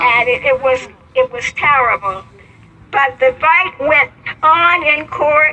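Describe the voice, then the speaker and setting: A woman uses a raised, projected voice, high in pitch with lively intonation. She goes very slowly, with long, frequent pauses, against noticeable background noise. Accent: American. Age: 80s+. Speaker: civil rights activist and retired teacher. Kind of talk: interview answer.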